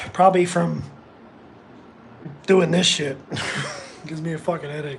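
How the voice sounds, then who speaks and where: Moderate pacing against noticeable background noise. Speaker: livestreamer. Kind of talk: casual chat. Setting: live stream. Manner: loud; animated.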